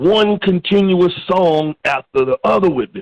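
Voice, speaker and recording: With lively intonation and an animated tone, a man with a high pitch speaks at a fairly slow pace in a dry, close sound with no echo. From South Carolina. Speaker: rapper. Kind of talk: interview.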